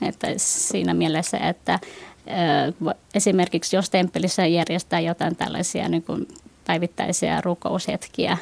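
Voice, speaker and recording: A woman speaks at a fairly slow pace in a fairly low voice, the sound dry and close with no echo. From Finland, moved from Vietnam at age 7. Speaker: Buddhist youth organization member. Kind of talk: radio panel discussion. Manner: hesitant, many fillers.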